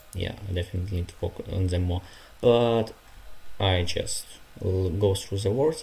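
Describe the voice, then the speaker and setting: Speaking in a Ukrainian accent at a moderate pace with ordinary pitch variation, the voice breaks into long, frequent pauses. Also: man, very deep, low pitch for a man. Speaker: language learner streamer. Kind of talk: casual study livestream. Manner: halting, many fillers.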